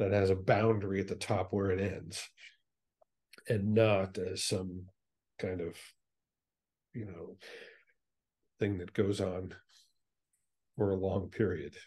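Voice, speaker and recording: A man speaks very slowly in a fairly low, dark and mellow voice that is somewhat breathy, leaving long, frequent pauses. His intonation is monotone and flat, and the background is quiet. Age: 60s. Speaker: space educator and space tourist; space educator. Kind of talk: casual chat. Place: home room. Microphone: video call.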